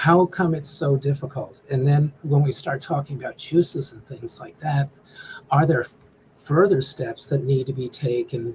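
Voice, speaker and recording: Somewhat breathy and dark, mellow in tone, a man's fairly high voice holds a fairly even intonation. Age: 60s. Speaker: small business development director. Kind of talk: interview. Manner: halting.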